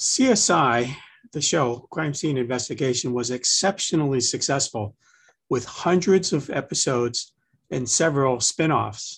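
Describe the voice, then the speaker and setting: At a moderate pace and a fairly high pitch, a man speaks somewhat breathily with ordinary pitch variation against a quiet background. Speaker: laboratory medicine professor. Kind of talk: interview. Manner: animated.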